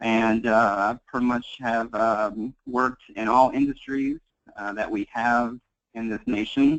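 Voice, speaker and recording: A man with a Kentucky accent talks at a very slow pace and a medium pitch, in a dry, close sound with no echo. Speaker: tax accountant. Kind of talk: webinar presentation. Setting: webinar call.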